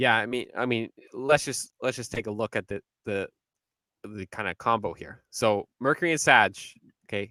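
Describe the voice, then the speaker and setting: Loud and with a bright, sharp tone, a man speaks at a medium pitch and a moderate pace, with ordinary pitch variation and long, frequent pauses, in a very clean recording with a silent background and a dry, close sound with no echo. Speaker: astrologer. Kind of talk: casual podcast discussion. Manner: halting, many fillers and restarts.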